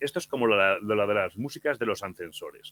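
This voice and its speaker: At a moderate pace, a man with a normal speaking voice talks with a fairly low pitch and ordinary pitch variation. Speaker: horror podcast narrator. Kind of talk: interview answer.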